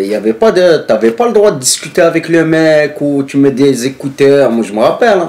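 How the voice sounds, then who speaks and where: Lively intonation marks a man's moderately paced speech, with noticeable background noise behind it. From northern France. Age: 30s. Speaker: former striking factory worker. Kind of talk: casual interview. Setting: filmed interview.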